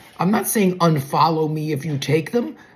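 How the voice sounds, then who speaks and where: Against noticeable background noise, a woman speaks at a very deep, low pitch with ordinary pitch variation. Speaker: weight loss content creator. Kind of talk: casual vlog talk. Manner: loud; sarcastic.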